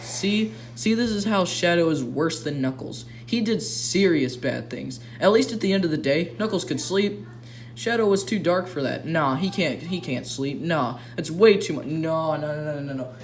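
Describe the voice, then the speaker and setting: Amid noticeable background noise and audible room echo, a fairly high-pitched man talks at a moderate pace with very wide pitch swings. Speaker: YouTuber reacting to fan fiction. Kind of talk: reading aloud with commentary. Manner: stuttering.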